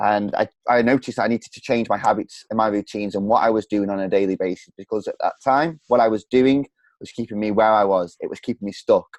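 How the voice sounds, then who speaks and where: A man talks at a very fast clip with fairly even intonation, the sound dry and close with no echo. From English Midlands, Stoke-on-Trent. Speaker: entrepreneur and coach, podcast guest. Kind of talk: personal story in interview.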